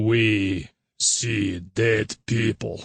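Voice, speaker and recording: A man does a put-on character voice in a Scottish accent, growling at a fairly low pitch with fairly even intonation. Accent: Scottish brogue. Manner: playful, mock-serious.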